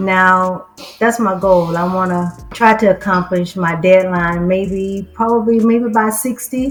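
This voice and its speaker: Music plays in the background as a woman speaks at a fairly slow pace. Her intonation is fairly even. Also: medium pitch for a woman. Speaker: vegan fitness coaching client. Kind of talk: interview.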